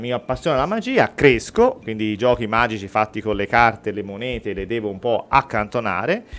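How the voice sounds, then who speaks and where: With a normal speaking voice at a medium pitch, a man talks at a fairly quick pace with hardly any pauses, ordinary pitch variation and big swings in loudness. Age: 40s. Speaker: mentalist and real estate agent; guest. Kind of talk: radio interview and mentalism demonstration. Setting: radio studio. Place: studio. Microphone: studio mic.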